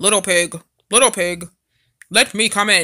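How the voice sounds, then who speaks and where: On a very clean recording with a silent background, a female-sounding put-on character voice bellows at a middle pitch. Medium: read story. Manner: roaring, then falsely kind.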